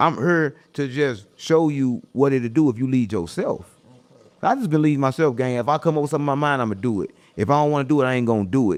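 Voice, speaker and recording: A man with a St. Louis accent, fairly high pitch, lively intonation and a very fast pace. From US Midwest, St. Louis. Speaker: internet personality. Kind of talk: casual interview. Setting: content house. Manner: stumbles over words.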